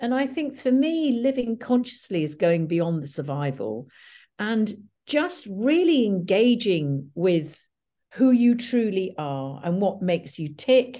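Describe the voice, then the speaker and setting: Against a quiet background, a woman talks at a very slow pace in a dark, mellow tone with very wide pitch swings. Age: 70s. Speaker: author and speaker on death and dying. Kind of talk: interview conversation.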